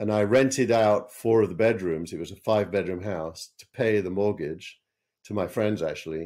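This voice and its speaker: In a dark, mellow tone, a man speaks fairly low at a moderate pace, with ordinary pitch variation and big swings in loudness. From northern England. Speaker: tech entrepreneur and investor. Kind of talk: interview.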